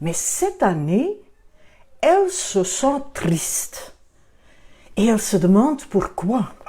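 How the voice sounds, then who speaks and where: Pausing long and often at a very slow pace, a woman with a fairly high, dark, mellow voice swings very widely in pitch. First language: Dutch (Flemish) (speaking French). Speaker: children's book author and photographer. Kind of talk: book presentation. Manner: halting.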